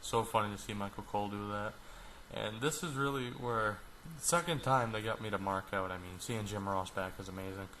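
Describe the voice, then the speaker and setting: A man talks at a fairly quick pace and a fairly low pitch. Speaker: wrestling reviewer. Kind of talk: casual review talk to camera.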